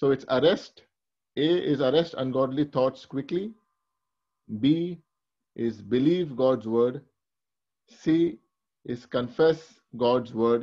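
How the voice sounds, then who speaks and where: A man speaks very slowly with a dark, mellow tone and ordinary pitch variation. Long, frequent pauses break his speech over a quiet background. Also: medium pitch for a man. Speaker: Bible teacher. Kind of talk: sermon. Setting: video call.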